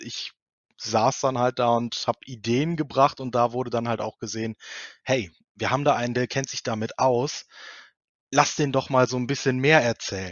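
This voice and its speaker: Medium in pitch, a man talks at a moderate pace. His intonation is fairly even. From Germany, Cologne. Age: 30s. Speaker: multimedia technician in public administration. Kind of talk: interview. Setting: video podcast recording. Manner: hesitant, many filler sounds.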